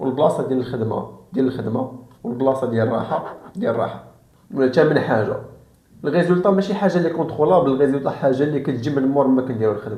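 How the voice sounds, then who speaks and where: Speaking at a very fast pace with a Moroccan accent, a man keeps a medium pitch and ordinary pitch variation. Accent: Moroccan Darija. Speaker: self-improvement YouTuber. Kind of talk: casual talk to camera.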